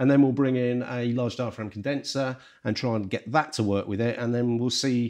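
Fairly quick and fairly even in intonation, a man speaks with a slightly mellow tone.

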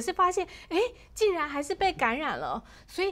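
A woman talking at a fairly quick pace. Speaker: livestream health show host. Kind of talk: interview. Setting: studio. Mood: concerned, sympathetic. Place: studio. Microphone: lapel.

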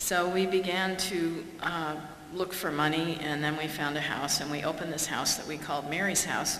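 A woman with a very deep, low voice talks at a moderate pace and fairly even intonation, with audible room echo and light background noise. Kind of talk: public talk. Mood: warm, wry humour. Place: hall. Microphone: podium.

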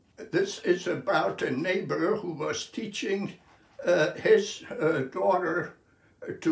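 A man talks at a very slow pace, with audible room echo around him. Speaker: poet. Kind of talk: poetry reading. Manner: slow, measured, contemplative delivery. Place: home room. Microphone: phone near.

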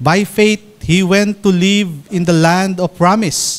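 Very slowly, a man speaks in a high voice. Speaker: church elder preacher. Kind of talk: scripture reading in sermon. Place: church. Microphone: podium.

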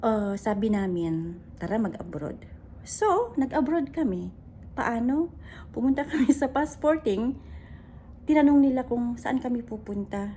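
The intonation is lively. The pace is fairly slow. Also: woman, high pitch for a woman. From Philippines. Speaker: vlogger and domestic worker. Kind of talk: casual vlog monologue.

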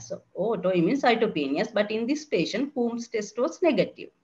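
Her pitch is fairly high, and it swings very widely, with vocal fry in the woman's voice. She keeps a moderate pace. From Sri Lanka. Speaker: consultant general physician; presenter. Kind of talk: clinical case presentation. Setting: online webinar. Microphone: webcam.

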